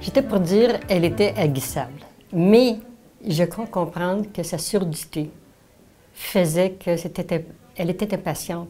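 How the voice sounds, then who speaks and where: Somewhat breathy and dark, mellow in tone, a woman with a fairly low pitch and ordinary pitch variation talks at a fairly slow pace with long, frequent pauses. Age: 70s. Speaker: senior sharing memories. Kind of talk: personal reminiscence.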